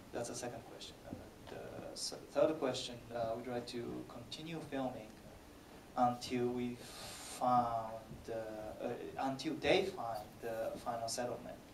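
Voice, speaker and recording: A man talks with fairly even intonation and big swings in loudness. The recording has audible room echo and noticeable background noise. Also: medium pitch for a man, fairly slow pace. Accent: Japanese. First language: Japanese. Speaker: film director. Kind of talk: Q&A answers. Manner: halting, many fillers.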